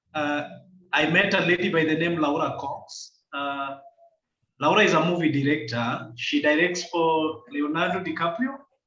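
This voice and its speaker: Loud and bright with a sharp tone, a man speaks at a fairly high pitch with ordinary variation. His pace is moderate, and audible room echo surrounds the voice. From Kenya. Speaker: climate and environmental rights activist. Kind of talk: video call interview. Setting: video call. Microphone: echoey room.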